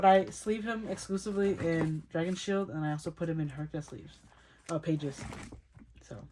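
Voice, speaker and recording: Loudness rises and falls sharply over a fairly quick pace, with ordinary pitch variation and noticeable background noise. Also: woman, fairly low pitch for a woman. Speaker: k-pop photocard collector vlogger. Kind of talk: casual collection showcase talk. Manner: fast; chatty, self-correcting.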